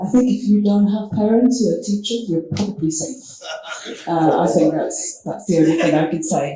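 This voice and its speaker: A woman speaks with a French accent. There is noticeable background noise. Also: medium pitch for a woman, lively intonation, moderate pace. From France. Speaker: head of secondary school. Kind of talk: panel discussion.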